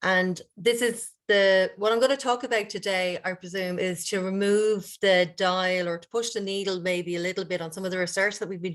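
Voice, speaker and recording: In an Irish accent, a woman speaks at a moderate pace and medium pitch with fairly even intonation against a quiet background. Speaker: university director and researcher. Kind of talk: conference presentation.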